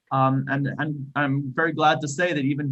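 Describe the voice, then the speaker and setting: Fairly high in pitch, a man with an Israeli accent speaks in a monotone with flat intonation. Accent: non-Australian, Israeli. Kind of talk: panel discussion. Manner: hesitant, many fillers.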